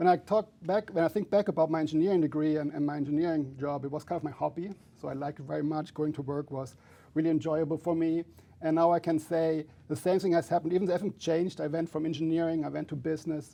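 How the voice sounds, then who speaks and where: Against a quiet background, a man with a German accent speaks at a very fast pace in a dark, mellow tone, with a fairly high pitch and fairly even intonation. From Germany. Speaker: finance professor. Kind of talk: interview. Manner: halting, many fillers.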